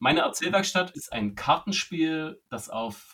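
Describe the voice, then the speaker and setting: The tone is bright and sharp, with very wide pitch swings. Delivery comes at a fairly slow pace. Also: man. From Saxony, eastern Germany (Zwickau). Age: 40s. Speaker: writer and creativity trainer. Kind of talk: casual interview.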